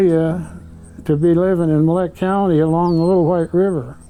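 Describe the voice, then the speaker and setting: Speaking with an American accent, a man with a high pitch and a dark, mellow tone keeps a monotone, flat intonation. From South Dakota, US Midwest. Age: 80s+. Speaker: retired rancher. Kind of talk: interview storytelling. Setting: living room at home. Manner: plain, folksy.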